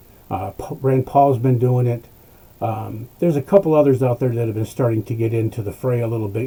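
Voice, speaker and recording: At a fairly quick pace, a man with a medium-pitched, somewhat breathy voice speaks with ordinary pitch variation. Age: 60s. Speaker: political commentator. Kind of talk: political rant. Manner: animated; halting.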